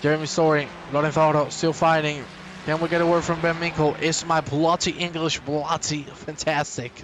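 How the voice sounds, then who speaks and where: There is noticeable background noise as a man talks at a fairly quick pace, his loudness very even. He has a Spanish accent and a fairly high pitch. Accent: Spanish, non-native English. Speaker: sim racing commentator. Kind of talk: live commentary. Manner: animated. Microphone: poor microphone.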